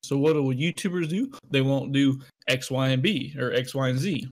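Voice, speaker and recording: Fairly high for a man, his pitch varies in an ordinary way in a plain, everyday voice. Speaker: podcast co-host. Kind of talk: casual chat.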